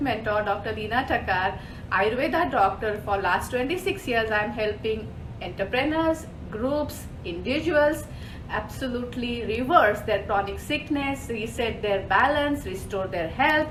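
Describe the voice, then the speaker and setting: A fairly high-pitched woman speaks at a moderate pace. Audible room echo and noticeable background noise surround her. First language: not English. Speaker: holistic health mentor. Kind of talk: live show presentation. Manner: animated.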